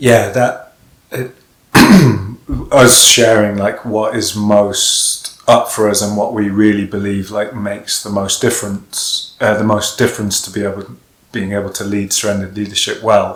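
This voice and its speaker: A man at a moderate pace with monotone, flat intonation. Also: fairly low pitch for a man. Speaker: workshop leader. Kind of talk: casual chat. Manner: halting.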